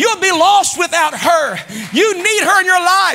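A man's extremely high, raised and projected voice, animated in tone, with ordinary pitch variation at a moderate pace. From US Midwest. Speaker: pastor. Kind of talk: sermon. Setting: church. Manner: animated, exhorting the congregation with call-and-response; fervent and preacherly, rising in volume and emphasis. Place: church. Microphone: lapel.

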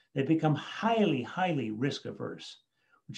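Against a quiet background, a man with an American accent speaks at a moderate pace with vocal fry and lively intonation. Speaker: education author and speaker; speaker. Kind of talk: talk with presentation and Q&A. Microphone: video call.

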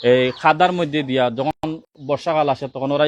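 With a Sylheti accent, a man of fairly high pitch speaks with ordinary pitch variation, the sound dry and close with no echo. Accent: Sylheti-accented Bengali. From Bangladesh, Sylhet region (Kulaura, Moulvibazar). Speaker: local resident with a complaint. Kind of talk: statement to the press.

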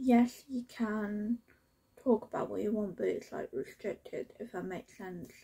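A woman speaks fairly slowly in a British accent. Her loudness swings a lot. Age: 20s. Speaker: lifestyle YouTuber. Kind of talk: casual vlog Q&A. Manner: chatty, rambling.

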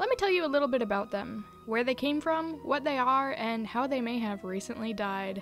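A high-pitched woman at a fairly quick pace with lively intonation, music in the background. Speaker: video essayist. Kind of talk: video essay narration.

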